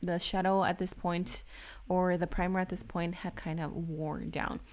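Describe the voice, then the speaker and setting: Over a very clean recording with a silent background, a woman with a fairly low pitch speaks in a non-native accent. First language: not English. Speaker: beauty youtuber. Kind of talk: tutorial. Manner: casual, chatty.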